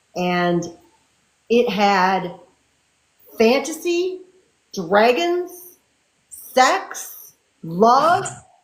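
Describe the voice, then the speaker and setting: Within audible room echo, a woman speaks very slowly with a fairly high pitch, very wide pitch swings, and long, frequent pauses. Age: 60s. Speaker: fantasy and romance author. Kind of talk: casual interview chat.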